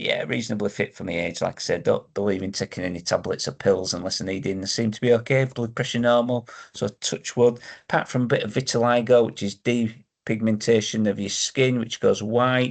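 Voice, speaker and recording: A man of medium pitch with a Yorkshire accent, at a fairly quick pace with fairly even intonation, against a quiet background. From northern England, Yorkshire. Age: 60s. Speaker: vlogger sharing health experience. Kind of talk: casual personal vlog. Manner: hesitant, with frequent ums.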